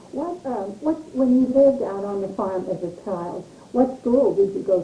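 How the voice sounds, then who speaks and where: Through noticeable background noise, a woman speaks at a moderate pace with an American accent. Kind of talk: interviewer questions.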